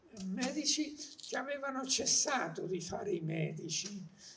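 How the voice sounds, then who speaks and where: Noticeable background noise and audible room echo surround the voice. The delivery is fairly slow, and the pitch varies in an ordinary way. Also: man. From Marche, Italy. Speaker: journalist and essayist. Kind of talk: public talk. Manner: halting.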